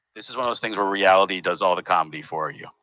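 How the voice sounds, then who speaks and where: A man's fairly low, bright and sharp voice with a Northeastern US accent, in a dry, close sound with no echo. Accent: US Northeast American. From US Northeast, Massachusetts. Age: 40s. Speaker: comedian and festival founder. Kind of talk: casual interview. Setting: remote recording from parents' living room.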